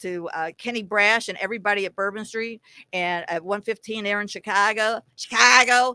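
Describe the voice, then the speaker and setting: Recorded very cleanly against a silent background, a woman's voice has a bright, sharp tone and a dry, close sound with no echo. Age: 60s. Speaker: former radio personality and sports fan guest. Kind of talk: casual chat.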